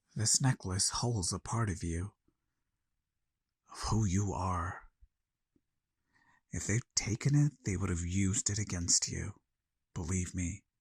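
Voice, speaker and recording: A low, put-on character voice at a fairly slow pace, broken by long, frequent pauses. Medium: audio drama. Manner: quiet, cryptic.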